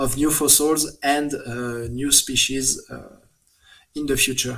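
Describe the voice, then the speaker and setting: The pace is very slow. The speaker talks with a French accent. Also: man. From France. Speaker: paleontologist. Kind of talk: interview. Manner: halting, many fillers.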